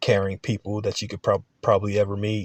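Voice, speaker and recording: A man is heard in a very clean recording with a silent background and a dry, close sound with no echo. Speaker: college student. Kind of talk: class video presentation. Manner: matter of fact; halting, many fillers.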